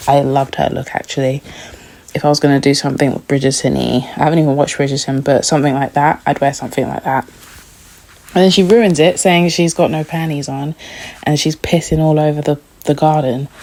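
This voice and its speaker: A woman talks at a very fast pace in a very deep, low pitch. Her intonation stays fairly even. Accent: British. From London, England. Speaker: TV recap youtuber. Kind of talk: casual review chat. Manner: chatty, informal.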